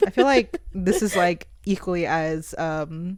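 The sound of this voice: A soft-spoken woman's fairly low pitch, slightly mellow tone, lively intonation, and fairly slow pace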